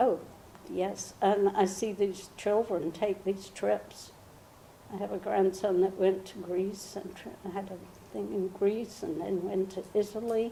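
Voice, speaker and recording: A woman with an American accent talks at a fairly slow pace with fairly even intonation. Her loudness swings widely, over noticeable background noise. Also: medium pitch for a woman. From England, near Oxford. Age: 90s. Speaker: oral history interviewee, mother. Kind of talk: oral history interview.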